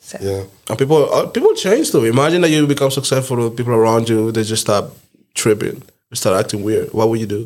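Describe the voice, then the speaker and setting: The speaker talks fairly quickly in a non-native accent. Pitch variation is ordinary. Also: man, medium pitch for a man. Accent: foreign. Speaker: podcast host. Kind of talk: casual chat.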